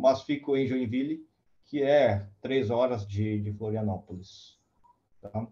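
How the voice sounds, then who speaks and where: Speaking at a very slow pace, a man has a medium pitch and ordinary pitch variation. His tone is dark, mellow and somewhat breathy. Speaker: applications engineer. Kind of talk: technical lecture. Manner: slow, deliberate; halting, many fillers.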